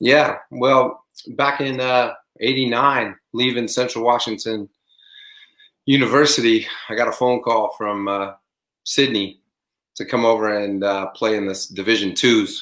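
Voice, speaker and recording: With an American accent, a man speaks at medium pitch. He goes fairly slowly, with long, frequent pauses. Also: fairly even intonation. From US Pacific Northwest. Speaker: former pro basketball player and coach. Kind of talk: casual interview.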